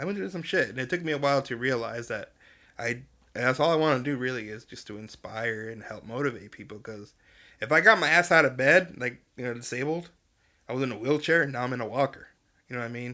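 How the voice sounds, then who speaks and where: A man talks at a very fast pace in a bright, sharp tone, with ordinary pitch variation and big swings in loudness. The recording is very clean, with a silent background. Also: medium pitch for a man. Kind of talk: casual interview chat. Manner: casual, filler-heavy.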